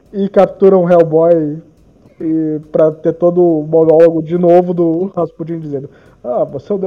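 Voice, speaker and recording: A man's voice with a high pitch. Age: 20s. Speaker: podcast host. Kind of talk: casual chat.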